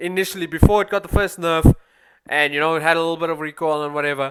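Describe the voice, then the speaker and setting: The speaker talks at a very fast pace with a South African accent. The recording is very clean, with a silent background. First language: Afrikaans. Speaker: gaming YouTuber. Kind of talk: gameplay commentary. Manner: casual, animated.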